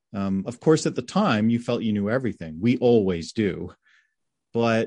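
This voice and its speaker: A man speaks at a fairly slow pace, his pitch medium. He has a normal speaking voice, and the background is quiet. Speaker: film director. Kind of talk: interview. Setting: video call.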